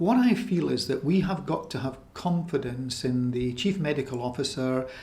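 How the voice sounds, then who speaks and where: Somewhat breathy, a man's voice keeps a moderate pace and lively intonation. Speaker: doctor. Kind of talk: interview answer.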